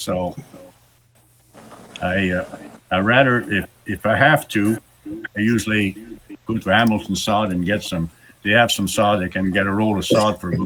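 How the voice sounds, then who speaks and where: Noticeable background noise sits behind a man's fairly low voice. He keeps a moderate pace with fairly even intonation. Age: 80s+. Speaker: greenskeeper. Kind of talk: Q&A session. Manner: halting, many repetitions.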